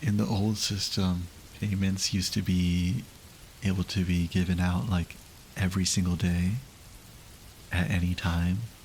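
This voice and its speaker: Very deep and low in pitch, a man speaks somewhat breathily at a fairly slow pace with fairly even intonation. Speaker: streamer. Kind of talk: casual livestream chat.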